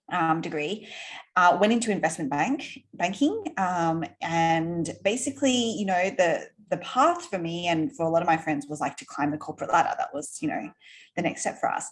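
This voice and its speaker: A woman with an Australian accent speaks at a moderate pace in a fairly low voice with lively intonation. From Australia, Sydney. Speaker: entrepreneur. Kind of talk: interview conversation. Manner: animated.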